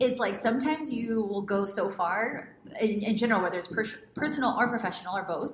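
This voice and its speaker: A woman with an American accent, fairly high-pitched and fairly quick, over noticeable background noise. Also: ordinary pitch variation. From Houston, Texas. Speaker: podcast host, lifestyle coach. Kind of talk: interview podcast.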